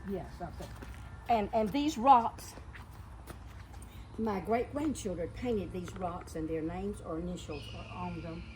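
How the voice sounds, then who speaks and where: A woman speaking fairly slowly with long, frequent pauses and big swings in loudness, amid noticeable background noise and audible room echo. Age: 90s. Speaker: elderly gardener showing her garden. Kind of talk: casual chat. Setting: outdoors. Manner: halting.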